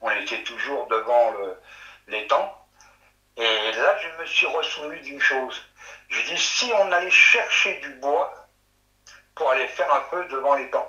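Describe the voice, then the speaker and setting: Speech moves at a very slow pace, broken by long, frequent pauses. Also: man. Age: 60s. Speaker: witness recounting sighting. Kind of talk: testimony. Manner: halting.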